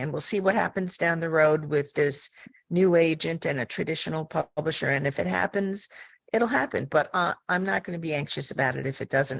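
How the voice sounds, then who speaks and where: In an American accent, a woman with a very deep, low pitch and vocal fry talks at a moderate pace with lively intonation against a quiet background. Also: dry, close sound with no echo. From US Northeast (Long Island, New York). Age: 70s. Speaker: mystery author, panelist. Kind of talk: panel discussion.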